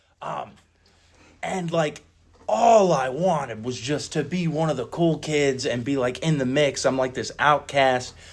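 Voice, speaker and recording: Speaking fairly slowly with an American accent, a man uses a fairly high voice and ordinary pitch variation. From US Midwest, Northeast Ohio. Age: 30s. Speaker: recovery meeting speaker. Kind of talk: personal testimony at recovery meeting. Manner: casual, halting with filler words.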